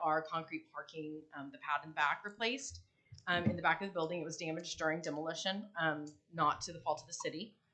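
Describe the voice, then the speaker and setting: A woman speaks loudly in a fairly low pitch. Her pitch varies in an ordinary way. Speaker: building owner speaking at public meeting. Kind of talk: public comment at city meeting. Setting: city commission meeting.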